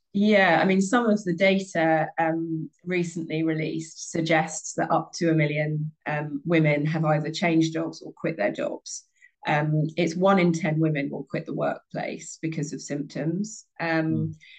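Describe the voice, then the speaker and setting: Speaking fairly slowly with hardly any pauses, a woman with a British accent keeps her fairly low voice in fairly even intonation. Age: 30s. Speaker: former sports broadcaster, menopause awareness advocate. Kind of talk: interview conversation.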